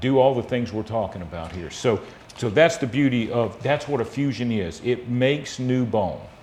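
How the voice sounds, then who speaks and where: Speaking in a plain, everyday voice with an American accent, a man holds a medium pitch, a moderate pace and ordinary pitch variation. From US South, South Georgia. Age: 50s. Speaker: spine surgeon. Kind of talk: interview, explaining medical topics.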